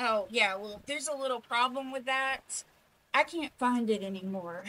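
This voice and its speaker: The speaker drawls in a put-on character voice. The pace is moderate. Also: female-sounding voice, high pitch for a woman. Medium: comedy sketch. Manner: laid-back, drawling, says man a lot.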